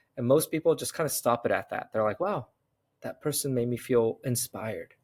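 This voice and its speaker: In an American accent, a man of medium pitch talks fairly quickly with ordinary pitch variation, the sound dry and close with no echo on a very clean recording with a silent background. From United States, Korean immigrant family. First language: Korean. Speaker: serial entrepreneur and investor. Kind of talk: interview conversation.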